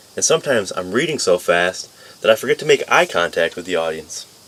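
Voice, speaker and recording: With an American accent, a man talks at a fairly quick pace over noticeable background noise. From upstate New York. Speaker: community college student. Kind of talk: class speech. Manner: fast when nervous.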